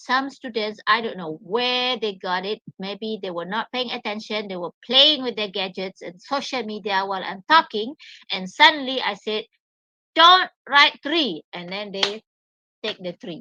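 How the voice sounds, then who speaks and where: Her voice bright and sharp with a fairly high pitch, a woman speaks fairly slowly with lively intonation and big swings in loudness, the sound dry and close with no echo. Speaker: English teacher. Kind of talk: lecture.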